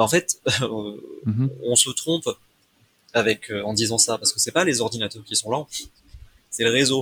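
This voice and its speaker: A man with a medium pitch and ordinary pitch variation talks at a moderate pace, with long, frequent pauses. The sound is dry and close, with no echo. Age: 20s. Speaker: computer science student and former substitute math teacher. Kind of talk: casual interview. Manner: halting.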